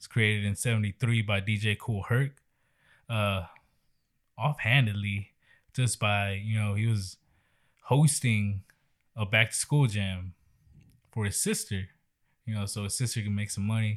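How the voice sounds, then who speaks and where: In a very clean recording with a silent background, a man speaks with a Texan accent at a fairly low pitch and fairly slow pace. His intonation is fairly even, broken by long, frequent pauses. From Texas. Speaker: podcast host. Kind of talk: casual chat.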